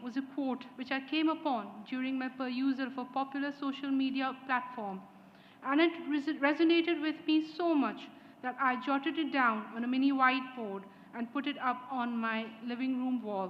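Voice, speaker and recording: Audible room echo surrounds a woman with a high voice who speaks at a moderate pace with ordinary pitch variation. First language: not English. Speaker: graduating student speaker. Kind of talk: graduation speech. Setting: ceremony hall with audience. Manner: formal.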